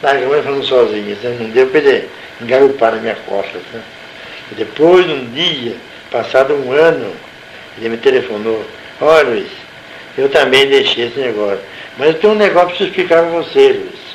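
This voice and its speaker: A man at a moderate pace with long, frequent pauses, amid noticeable background noise and audible room echo. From Brazil, Salto (São Paulo state). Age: 70s. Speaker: retired nurse and former local councillor. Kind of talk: oral history interview.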